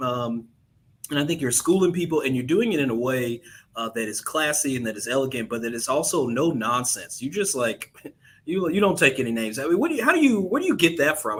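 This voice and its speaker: In an American accent, a man with a normal speaking voice talks at a fairly quick pace with lively intonation. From US South, Memphis, Tennessee. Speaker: podcast host, lawyer. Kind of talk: interview conversation.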